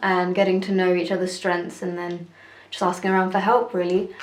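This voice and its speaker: Someone speaks in a British accent, with audible room echo. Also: woman. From UK, Telugu heritage. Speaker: singer and vlogger. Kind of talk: casual vlog talk. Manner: hesitant, many fillers.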